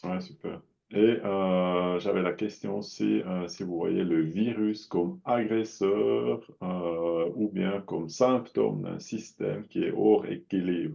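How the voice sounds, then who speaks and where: A man talks at a very slow pace with lively intonation. His pitch is very deep and low. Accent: non-native. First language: not French (speaking French). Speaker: audience member asking questions. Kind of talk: Q&A questions. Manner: halting.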